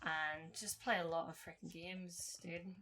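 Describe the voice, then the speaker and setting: Here a woman talks with an American accent. Her pitch is fairly low and her pace fairly slow. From Ireland. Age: 20s. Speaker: podcast co-host, gamer and streamer. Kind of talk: casual chat.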